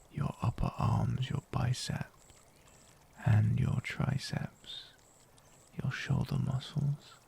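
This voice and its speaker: At a very slow pace, a man speaks in a calm tone with very even loudness and long, frequent pauses. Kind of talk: guided meditation with affirmations. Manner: slow, calm.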